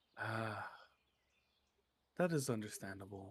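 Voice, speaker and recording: A put-on character voice, whispering, breathy and soft-spoken, at a fairly slow pace. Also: man. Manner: gentle, caressing.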